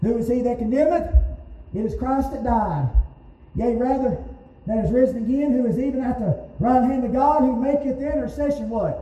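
An animated tone comes at a moderate pace over noticeable background noise. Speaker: preacher. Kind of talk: sermon. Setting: church with congregation. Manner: animated, call-and-response preaching, pausing for the congregation's amens; emphatic, repeating key words for punch.

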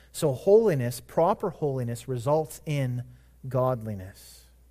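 The voice is somewhat breathy and moves at a fairly slow pace with lively intonation. The recording is very clean with a silent background. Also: man. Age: 40s. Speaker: pastor. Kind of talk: sermon.

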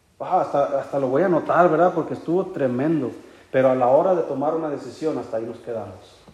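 At a very fast pace, the voice carries an animated tone and ordinary pitch variation over noticeable background noise. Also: man, fairly high pitch for a man. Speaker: preacher. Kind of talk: sermon. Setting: church. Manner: animated, earnest preaching with rhetorical questions and storytelling; warm, conversational, with occasional laughter.

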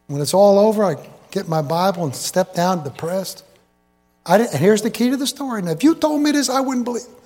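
A man's high-pitched, very fast delivery with very wide pitch swings, over music in the background. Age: 70s. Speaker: preacher. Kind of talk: sermon. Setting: church. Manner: animated.

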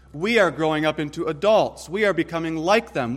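Fairly high male voice, an unremarkable speaking voice, at a moderate pace. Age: 30s. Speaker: pastor. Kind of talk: sermon.

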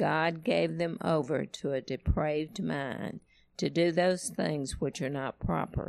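A woman speaks at a fairly slow pace with vocal fry and a very deep, low pitch against a quiet background. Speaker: congregation member reading scripture. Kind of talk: reading aloud.

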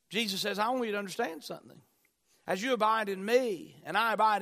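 A man speaks at a moderate pace in a high, bright and sharp, raised and projected voice with ordinary pitch variation, on a very clean recording with a silent background. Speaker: pastor. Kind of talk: sermon. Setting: church with congregation.

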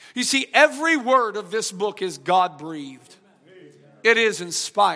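Raised and projected, a man's high-pitched voice carries a bright, sharp tone and lively intonation at a fairly slow pace. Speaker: pastor. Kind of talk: sermon. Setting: church. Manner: subdued, low volume.

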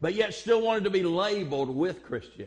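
A man speaks in an animated tone. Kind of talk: sermon. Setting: church. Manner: animated, emphatic pulpit delivery, direct appeals to the congregation; call-and-response, rhythmic, exhorting tone.

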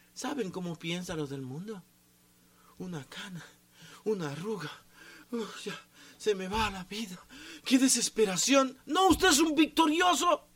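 A man's high voice at a fairly slow pace, with very wide pitch swings and noticeable background noise. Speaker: pastor. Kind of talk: sermon. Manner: sometimes shouts.

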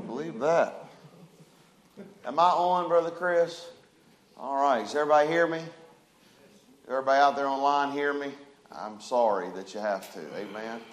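Loud and booming, a man's voice carries ordinary pitch variation and long, frequent pauses amid audible room echo. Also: medium pitch for a man, moderate pace.

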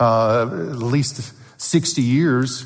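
There is audible room echo as a man with a Southern US accent speaks at a medium pitch. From US South. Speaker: paleontologist and creationist speaker. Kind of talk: church talk.

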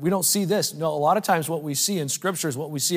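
A man with a fairly high pitch and ordinary pitch variation is heard on a very clean recording with a silent background. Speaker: preacher. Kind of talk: sermon to a men's meeting, preached with scripture reading and direct appeals. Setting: live stage with a standing audience. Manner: emphatic and repetitive, building by refrain ('He should be increasing'); conversational and halting, with frequent 'uh' fillers.

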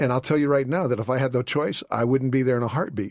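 Words tumble out of a man at a very fast pace. His voice holds a medium pitch. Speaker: author and apologist. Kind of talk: radio call-in interview. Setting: studio.

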